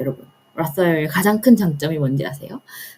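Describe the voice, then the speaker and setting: A woman with a fairly low-pitched voice. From Korea, raised partly in US (1.5 generation). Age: 30s. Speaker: personal finance vlogger, government employee. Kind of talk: personal finance talk to camera. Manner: casual, with fillers and hesitations.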